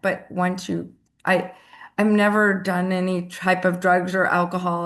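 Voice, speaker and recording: A plain, everyday voice at a fairly slow pace. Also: woman. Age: 60s. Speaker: audience member. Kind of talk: casual chat. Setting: video call.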